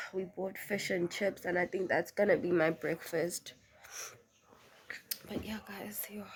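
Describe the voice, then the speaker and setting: Fairly slow speech with long, frequent pauses over noticeable background noise. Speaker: lifestyle vlogger. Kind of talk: vlog, casual chat to camera. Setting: at home.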